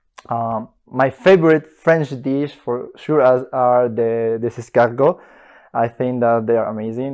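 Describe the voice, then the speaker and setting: A man with a Spanish accent speaks at a fairly slow pace, his medium pitch showing ordinary variation. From Bolivia. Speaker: master's student. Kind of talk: interview answers. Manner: hesitant, many fillers.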